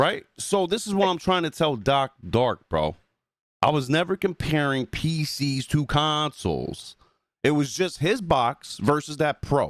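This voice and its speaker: With a New Jersey accent and an animated tone, the speaker goes at a fairly slow pace with ordinary pitch variation and very even loudness, sounding dry and close with no echo. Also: man, fairly high pitch for a man. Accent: New Jersey accent coming through. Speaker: gaming podcast co-host and YouTuber. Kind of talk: casual podcast chat. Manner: animated, heated.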